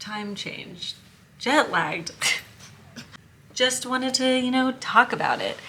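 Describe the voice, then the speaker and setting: Amid noticeable background noise, a high-pitched woman speaks at a very slow pace with long, frequent pauses. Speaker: former teacher, inclusion advocate. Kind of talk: casual vlog talk to camera. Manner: monotone.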